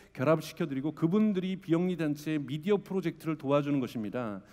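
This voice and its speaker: Fairly high in pitch yet dark and mellow in tone, a man speaks at a fairly quick pace on a very clean recording with a silent background. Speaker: media company CEO. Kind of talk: conference talk. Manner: fast.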